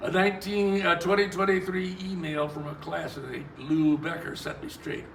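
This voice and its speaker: With an American accent, the speaker talks at a moderate pace amid audible room echo and noticeable background noise. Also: man. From US South. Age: 80s+. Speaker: author. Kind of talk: reading aloud.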